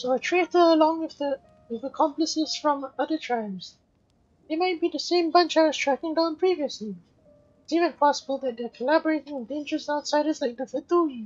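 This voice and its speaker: A woman puts on a character voice, high-pitched and delivered at a fairly quick pace. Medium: fan dub.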